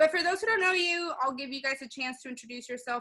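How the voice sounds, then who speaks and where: A woman's raised, projected voice, bright and sharp in tone, with ordinary pitch variation. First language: not English. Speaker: podcast host. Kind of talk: casual chat.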